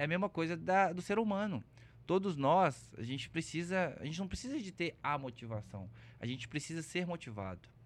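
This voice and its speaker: This man's voice sits at a fairly high pitch. It moves through very wide pitch swings. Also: moderate pace. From Belo Horizonte, Minas Gerais, Brazil. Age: 30s. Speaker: content creator. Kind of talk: casual chat.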